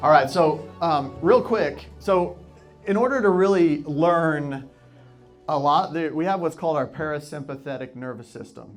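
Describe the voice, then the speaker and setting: A man's fairly high voice comes through with music playing behind it. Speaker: sales and real estate coach, live speaker. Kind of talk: live audience workshop opener, guided breathing exercise. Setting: live room with microphone and audience. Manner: energetic, upbeat, encouraging, jokes with the crowd.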